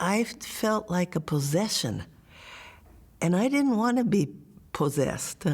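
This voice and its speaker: Somewhat breathy and very even in loudness, the voice swings very widely in pitch at a fairly slow pace with long, frequent pauses, on a very clean recording with a silent background. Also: woman, medium pitch for a woman. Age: 80s. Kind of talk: oral history interview.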